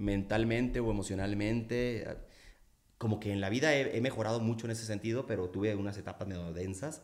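With an ordinary speaking voice, a man talks at a fairly low pitch with fairly even intonation. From Mexico, Culiacán, Sinaloa. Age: 40s. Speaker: singer-songwriter. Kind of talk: casual interview chat.

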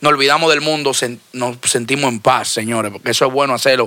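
A man of medium pitch speaks at a fairly quick pace in a bright, sharp tone with fairly even intonation. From Dominican Republic. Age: 30s. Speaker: music label owner. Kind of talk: casual interview.

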